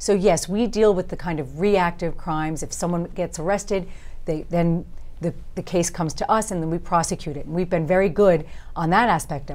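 With a New York accent, a woman talks at a fairly quick pace, her fairly low pitch carried on fairly even intonation. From Long Island, New York. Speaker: district attorney and congressional candidate; district attorney, candidate. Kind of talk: interview. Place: studio. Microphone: lapel.

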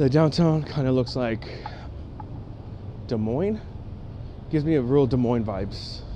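There is noticeable background noise behind a man whose pitch shows ordinary variation. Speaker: travel vlogger. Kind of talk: casual vlog chat. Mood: relaxed, joking. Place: street. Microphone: phone near.

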